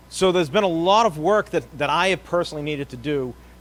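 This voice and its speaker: A man talks at a very fast pace in an American accent. His intonation is lively. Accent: Boston accent, slight, comes out at times. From Boston area, Massachusetts. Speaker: park naturalist. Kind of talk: conference presentation.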